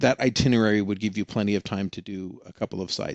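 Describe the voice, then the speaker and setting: A man with an ordinary speaking voice talks at a fairly quick pace with a fairly low pitch and fairly even intonation. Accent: American. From Oregon. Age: 60s. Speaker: experienced canyon hiker. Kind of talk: podcast interview.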